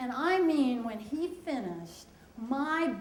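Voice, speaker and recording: A woman with an American accent and lively intonation, with audible room echo and noticeable background noise. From US Northeast, Pennsylvania/Delaware area. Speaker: storyteller. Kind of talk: personal storytelling.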